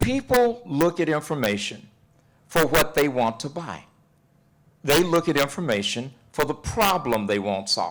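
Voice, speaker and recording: Using vocal fry and a Texas accent, a man with a fairly high pitch talks at a fairly slow pace with very wide pitch swings. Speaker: relationship and life coach. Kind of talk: panel discussion. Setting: university event with audience. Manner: animated.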